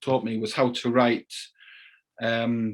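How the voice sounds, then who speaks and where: A man with a Cumbrian accent speaks at a very slow pace in a medium-pitched voice. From Carlisle, England. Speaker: crime novelist. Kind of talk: interview answer.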